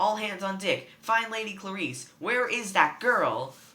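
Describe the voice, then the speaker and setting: A man's put-on character voice, gravelly and high-pitched, at a fairly slow pace. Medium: read story. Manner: gruff.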